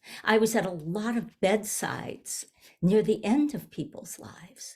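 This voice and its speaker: A woman speaks with a fairly high pitch and ordinary pitch variation. Her voice is somewhat breathy. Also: big swings in loudness. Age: 70s. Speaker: minister. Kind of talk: sermon. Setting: video call.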